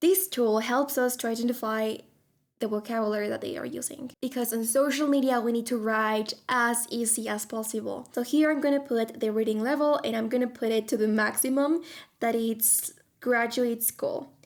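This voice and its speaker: A woman with a fairly high voice talks at a moderate pace with fairly even intonation, recorded very cleanly against a silent background. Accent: non-native. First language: not English. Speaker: tech tutorial youtuber, social media content coach. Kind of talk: tutorial.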